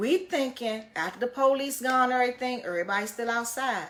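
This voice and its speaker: Over noticeable background noise, a woman talks very fast in an animated tone. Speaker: livestreamer. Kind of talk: storytelling.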